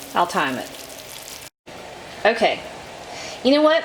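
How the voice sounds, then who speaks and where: A woman talks with a Southern US accent. Noticeable background noise can be heard. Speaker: cooking channel host. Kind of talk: cooking tutorial. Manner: casual, chatty.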